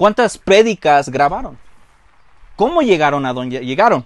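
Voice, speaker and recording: A man at a moderate pace, his pitch swinging very widely, in a dry, close sound with no echo. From Mexican-born, grew up in the US. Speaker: pastor. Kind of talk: sermon. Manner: halting, with frequent repetitions.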